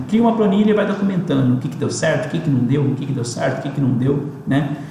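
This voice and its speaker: A man with a fairly high-pitched voice talks amid audible room echo and noticeable background noise. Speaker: digital marketing presenter. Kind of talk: webinar presentation. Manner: fast; casual, animated.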